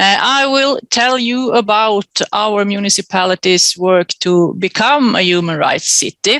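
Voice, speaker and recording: A woman's medium-pitched voice with a Swedish accent, at a fairly slow pace and very even loudness, with a dry, close sound and no echo. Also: ordinary pitch variation, hardly any pauses. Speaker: mayor. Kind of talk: conference presentation. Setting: webinar.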